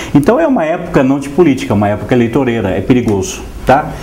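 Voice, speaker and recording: A man's voice amid audible room echo and noticeable background noise. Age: 60s. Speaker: writer, translator and painter. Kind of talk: TV interview.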